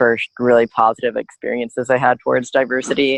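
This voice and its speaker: With a plain, everyday voice, a man speaks at a fairly quick pace in an American accent, his pitch medium, the sound dry and close with no echo. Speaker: blind student, advocacy group member. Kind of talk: podcast interview.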